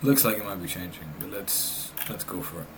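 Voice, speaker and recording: Over noticeable background noise and audible room echo, a man speaks at a fairly low pitch. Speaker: day trader. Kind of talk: live trading commentary. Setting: recording himself at a trading screen.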